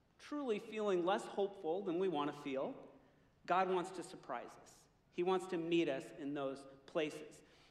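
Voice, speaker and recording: A man talks at a moderate speed, and the room gives off an audible echo. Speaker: pastor. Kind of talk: sermon. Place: stage. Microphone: headset.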